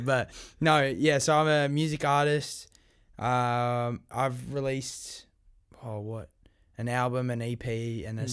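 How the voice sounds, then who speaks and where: A man with an Australian accent, medium-pitched, fairly slow and fairly even in intonation, with long, frequent pauses, in a very clean recording with a silent background. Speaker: music artist, podcast guest.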